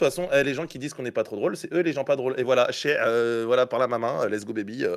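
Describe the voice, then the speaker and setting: His intonation is lively throughout. The man's delivery moves at a very fast pace. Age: 20s. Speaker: comedian. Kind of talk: casual chat.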